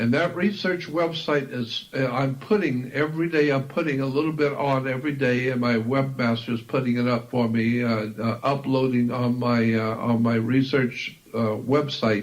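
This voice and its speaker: A man's voice holds a very even loudness against noticeable background noise. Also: medium pitch for a man, ordinary pitch variation, moderate pace, hardly any pauses. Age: 70s. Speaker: esoteric researcher and author. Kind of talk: interview.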